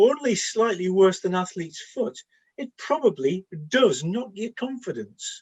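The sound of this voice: A man in a put-on character voice speaks at a fairly slow pace, pitched high with lively intonation and a slightly husky edge.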